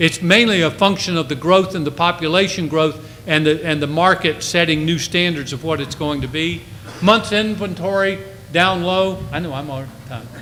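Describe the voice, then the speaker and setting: A man's high-pitched voice at a moderate pace, with ordinary pitch variation, audible room echo and noticeable background noise. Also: big swings in loudness. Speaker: real estate economist. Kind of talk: conference presentation. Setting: stage with audience.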